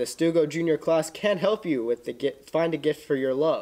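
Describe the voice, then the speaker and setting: Lively in intonation, a man speaks at a fairly quick pace in a dark, mellow tone. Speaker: student announcer. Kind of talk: school news announcements. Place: classroom.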